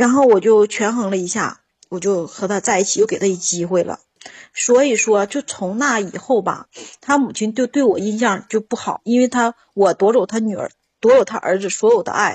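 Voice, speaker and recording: The woman's voice is fairly high and somewhat breathy. She keeps a moderate pace with ordinary pitch variation. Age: 40s. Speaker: caller. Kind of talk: call-in advice chat. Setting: phone call. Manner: animated.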